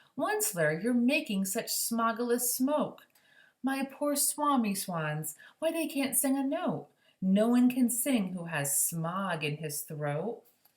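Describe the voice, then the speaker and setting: This female-sounding put-on character voice is croaky and fairly high in pitch. It goes at a fairly slow pace with very wide pitch swings. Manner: crying out, complaining.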